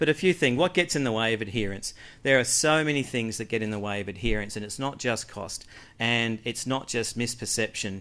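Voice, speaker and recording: At a fairly quick pace, a man with an Australian accent speaks in a bright, sharp tone with ordinary pitch variation. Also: medium pitch for a man, very clean recording, silent background. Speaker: health researcher. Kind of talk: conference presentation.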